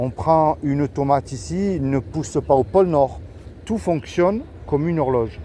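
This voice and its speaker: The speaker talks at a fairly slow pace with very wide pitch swings, over noticeable background noise. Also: man. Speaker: street evangelist youtuber. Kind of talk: street evangelism conversation. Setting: outdoors in the street.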